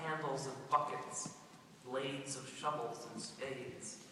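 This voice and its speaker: Over noticeable background noise, a man with a fairly high voice speaks at a fairly slow pace in a flat monotone. His loudness swings widely. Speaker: poet, high school English teacher. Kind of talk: poetry reading.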